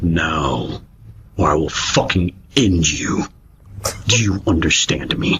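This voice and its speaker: Doing a put-on character voice, a man speaks at a very deep, low pitch and a fairly slow pace, with long, frequent pauses. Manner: menacing, sultry.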